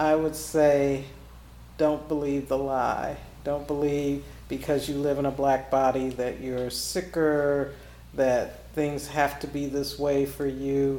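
In an American accent, a woman speaks at a very slow pace with a very deep, low pitch and a dark, mellow tone. Her intonation is monotone and flat, and audible room echo fills the recording. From US Midwest, Kansas City. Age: 50s. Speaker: nonprofit founder and former nurse. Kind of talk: interview.

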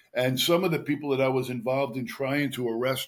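Here a man with an ordinary speaking voice talks at a medium pitch and a fairly quick pace. The recording is very clean, with a silent background. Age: 60s. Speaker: retired detective and author. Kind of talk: interview.

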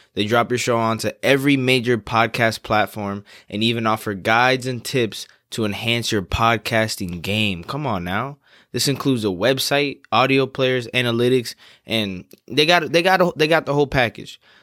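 A man speaks at a moderate pace and medium pitch, with ordinary pitch variation and a bright, sharp tone, in a very clean recording with a silent background. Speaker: podcast host. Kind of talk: casual chat.

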